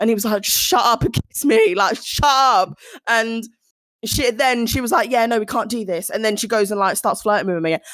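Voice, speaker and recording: A fairly high-pitched woman's voice, animated in tone, with ordinary pitch variation and a fairly quick pace. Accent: South London. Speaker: podcast co-host. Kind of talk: casual chat.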